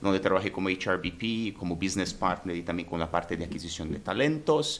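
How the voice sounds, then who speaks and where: A man speaks with lively intonation. His pitch is very deep and low. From Brazil. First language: Portuguese (speaking Spanish). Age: 30s. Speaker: human resources director. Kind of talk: podcast interview. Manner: halting.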